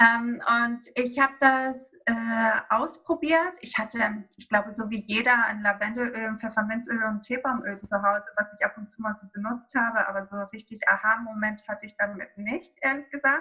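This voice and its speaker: A woman with a plain, everyday voice speaks at a moderate pace and a fairly high pitch. Her pitch variation is ordinary, while her loudness swings widely. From Greece, small island. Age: 30s. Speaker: yoga teacher and essential oil consultant. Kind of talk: interview about essential oils.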